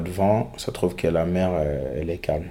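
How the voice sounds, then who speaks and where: This man has a very deep, low pitch and a dark, mellow tone. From Guinea. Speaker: migrant. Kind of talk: testimony. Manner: halting.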